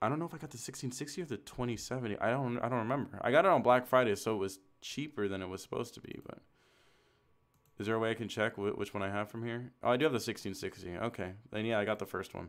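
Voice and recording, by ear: A man talks at a fast pace with fairly low pitch and ordinary pitch variation, in a very clean recording with a silent background.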